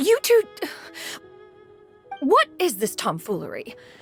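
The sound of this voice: A woman does a put-on character voice with a high pitch, vocal fry and very wide pitch swings at a slow pace, with faint music in the background.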